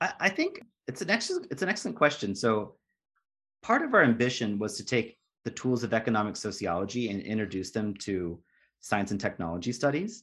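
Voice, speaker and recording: Against a quiet background, the speaker talks at a fairly quick pace with lively intonation. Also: man, medium pitch for a man. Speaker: sociologist and postdoc. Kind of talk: interview. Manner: halting, with many fillers.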